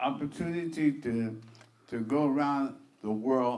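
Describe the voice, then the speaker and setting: A man at a very slow pace with ordinary pitch variation. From New York, Harlem. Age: 70s. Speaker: jazz pianist. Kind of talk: oral history interview. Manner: halting, many fillers.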